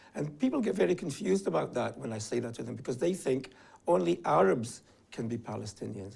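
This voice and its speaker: Talking at a fairly quick pace, a man uses vocal fry and very wide pitch swings. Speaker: advocacy group director. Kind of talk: interview.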